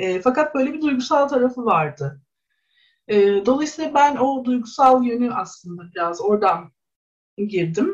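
Speaking at a fairly slow pace, a woman with a high pitch moves through very wide pitch swings. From Istanbul, Kadıköy (Bostancı). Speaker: sociology researcher. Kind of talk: radio interview.

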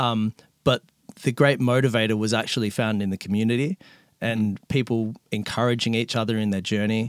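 A man talks at a fairly quick pace with an Australian accent and fairly even intonation. The recording is very clean, with a silent background. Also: medium pitch for a man, dry, close sound with no echo. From Melbourne, Australia. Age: 30s.

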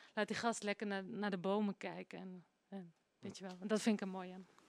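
Her intonation monotone and flat, a woman talks at a moderate pace in a dry, close sound with no echo. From Netherlands. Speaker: singer. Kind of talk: interview.

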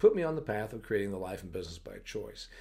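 Male voice with vocal fry. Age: 40s. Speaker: podcast host on agriculture business. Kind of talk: solo monologue podcast. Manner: animated.

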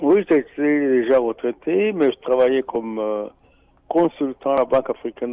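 A man with a normal speaking voice. His pitch sits in the middle of the male range and varies in an ordinary way. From Burundi. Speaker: radio volunteer and finance columnist. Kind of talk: interview. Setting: studio.

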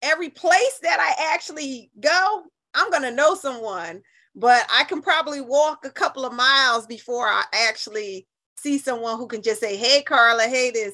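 A woman's high, raised and projected voice, bright and sharp in tone, with lively intonation at a moderate pace, on a very clean recording with a silent background. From New Haven, Connecticut. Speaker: communications consultant. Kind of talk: radio interview.

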